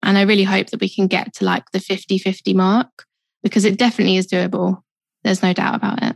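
In a South London accent, a woman talks very fast with vocal fry and flat, monotone intonation, the sound dry and close with no echo. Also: medium pitch for a woman. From South East London. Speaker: photographer. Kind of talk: interview conversation.

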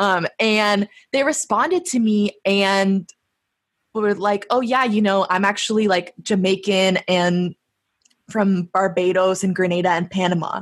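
A woman with an American accent has a normal speaking voice at medium pitch. Her pitch varies in an ordinary way and her loudness stays very even. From San Diego, US. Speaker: podcast host. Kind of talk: casual chat.

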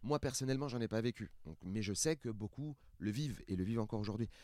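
A plain, everyday voice from a man at medium pitch, fairly quick in pace with ordinary pitch variation, in a very clean, dry, close recording with a silent background and no echo. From France, Seine-Saint-Denis (Paris suburbs). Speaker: stand-up comedian. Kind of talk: casual chat.

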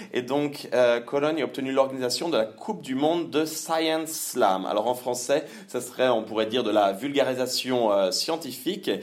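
Medium pitch and a plain, everyday voice from a man, ordinary pitch variation, moderate pace. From Normandy, France. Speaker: sport psychology researcher. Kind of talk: interview.

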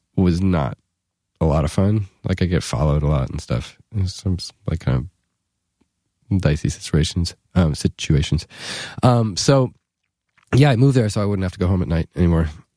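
In a dry, close recording with no echo, a man with an American accent speaks in a very deep, low pitch and a dark, mellow tone, his intonation lively and his pauses long and frequent. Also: moderate pace. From New York City. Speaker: musician. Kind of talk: casual chat. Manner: halting.

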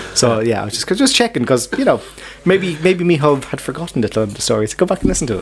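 Over noticeable background noise, a man talks at a very fast pace and a fairly high pitch with very wide pitch swings. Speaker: podcast co-host. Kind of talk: casual chat. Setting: pub.

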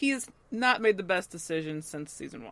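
Using lively intonation, a woman speaks at a fairly quick pace. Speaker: podcast co-host. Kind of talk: casual chat.

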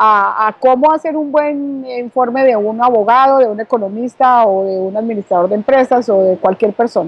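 A woman with an ordinary speaking voice talks at a moderate pace and fairly high pitch, with ordinary pitch variation and hardly any pauses. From Colombia (Bogotá). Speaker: author and communication coach. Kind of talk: interview.

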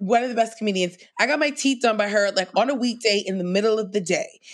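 With a normal speaking voice and an American accent, a woman talks at a fairly high pitch with lively intonation on a very clean recording with a silent background. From New York City, Queens. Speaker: comedian. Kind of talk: casual chat.

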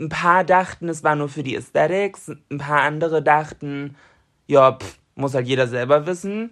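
Moderate pace against a quiet background. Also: woman, very deep, low pitch for a woman, ordinary pitch variation, big swings in loudness. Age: 20s. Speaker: podcast co-host and influencer. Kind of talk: casual chat.

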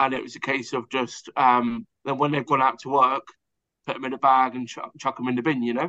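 A man's fairly quick speech with an English accent, monotone and flat in intonation, with big swings in loudness and a dry, close sound with no echo. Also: medium pitch for a man. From southern England. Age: 30s. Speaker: pub co-manager in recovery. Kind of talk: testimony. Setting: remote call.

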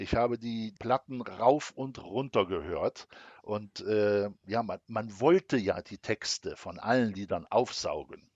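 A man of medium pitch at a very slow pace, with ordinary pitch variation. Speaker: civil servant. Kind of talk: personal storytelling interview.

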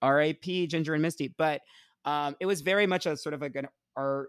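A man talks at a fairly quick pace with ordinary pitch variation. The sound is dry and close with no echo, on a very clean recording with a silent background. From New Jersey, Essex County. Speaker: pop culture writer and performer. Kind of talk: casual chat. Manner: animated.

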